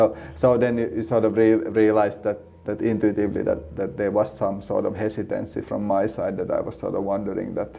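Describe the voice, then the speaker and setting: The speaker has a Swedish accent and moves at a fairly quick pace with hardly any pauses and ordinary pitch variation. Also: man, fairly low pitch for a man. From Finland, Helsinki. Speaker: seminary student and church planter. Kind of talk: casual interview. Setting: in-person sit-down interview. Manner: halting, many repeated words.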